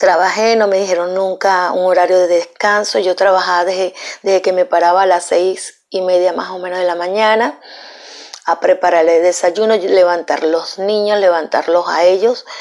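A woman talks at a moderate speed and a medium pitch, her intonation flat and monotone, with noticeable noise in the background. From Venezuela. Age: 50s. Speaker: domestic worker. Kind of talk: testimony.

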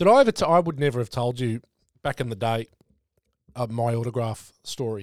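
Talking with an Australian accent, a man keeps a medium pitch with ordinary variation. His pace is fairly quick, yet he takes long, frequent pauses, and the sound is dry and close with no echo. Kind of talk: casual chat. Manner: casual, joking.

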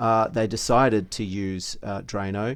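Over a silent background on a very clean recording, a man with an Australian accent speaks at a fairly low pitch. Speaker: podcast co-host. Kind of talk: casual chat.

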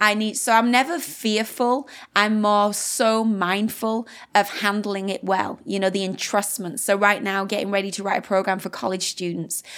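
Someone with a British accent speaks at a moderate pace with fairly even intonation. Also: woman, medium pitch for a woman. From UK. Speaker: pastor. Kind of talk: interview.

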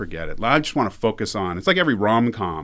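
The man talks at a fairly quick pace in a very clean recording with a silent background. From Canada. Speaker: university professor. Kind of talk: casual interview chat.

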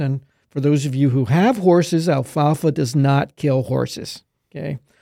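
Recorded very cleanly with a silent background, a man with an American accent and an ordinary speaking voice talks at a moderate pace, his fairly high pitch showing ordinary variation. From Pennsylvania, near Middletown. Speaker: agronomy professor. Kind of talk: interview.

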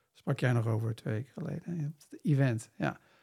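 A man speaks in a normal speaking voice at a fairly slow pace, with ordinary pitch variation. The recording is very clean, with a silent background. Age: 40s. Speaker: missionary and business mentor. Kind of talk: interview conversation.

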